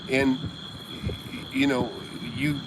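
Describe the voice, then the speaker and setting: A man is speaking amid noticeable background noise. The room adds an audible echo. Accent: American. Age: 60s. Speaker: real estate investor and mentor. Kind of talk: casual livestream chat. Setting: outdoors by a jacuzzi at night. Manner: halting, many fillers and restarts.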